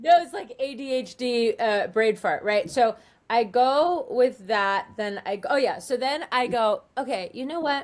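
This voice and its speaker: Her pitch swinging very widely, a woman talks with a Californian accent. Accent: Californian American English. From Southern California. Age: 50s. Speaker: life coach and psychic. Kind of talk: interview testimony. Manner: animated, rambling with self-quotes.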